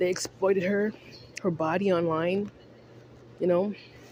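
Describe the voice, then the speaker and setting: A woman speaks at a moderate pace, and noticeable background noise can be heard behind her. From Canada. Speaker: online vlogger. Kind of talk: casual monologue rant. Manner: animated.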